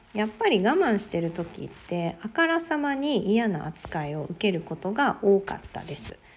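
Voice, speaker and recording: Speaking at a moderate pace, a woman sounds somewhat breathy, with lively intonation. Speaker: podcaster. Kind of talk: solo talk.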